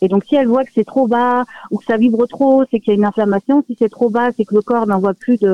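A high-pitched man at a fairly quick pace, fairly even in intonation. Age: 30s. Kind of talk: interview. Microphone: poor phone line.

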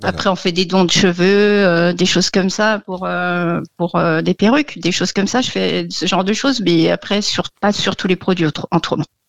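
A woman's fairly low voice with vocal fry, fairly even intonation and a moderate pace, hardly any pauses, and a dry, close sound with no echo. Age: 50s. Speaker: hairdresser, radio caller. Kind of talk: call-in consultation. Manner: hesitant.

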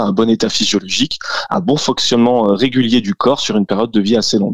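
Here a man talks at a moderate pace in a normal speaking voice. His pitch sits in the medium range. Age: 30s. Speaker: CrossFit gym co-owner and fitness coach. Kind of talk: radio interview.

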